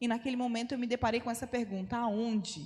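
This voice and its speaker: A woman is speaking. Her pitch is high. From Brazil, Rondônia (North). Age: 30s. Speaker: missionary. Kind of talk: testimony. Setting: church.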